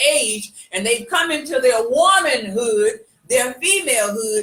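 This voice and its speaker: Very wide pitch swings mark the way this woman speaks. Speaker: live show co-host. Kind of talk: casual chat. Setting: live video stream. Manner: halting, repeats words.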